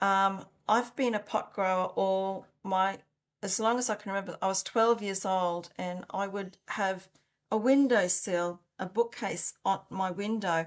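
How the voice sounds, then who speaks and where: On a very clean recording with a silent background, a woman in an Australian accent speaks at a fairly slow pace with fairly even intonation. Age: 60s. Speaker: founder of an organic soil improver company. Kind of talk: interview.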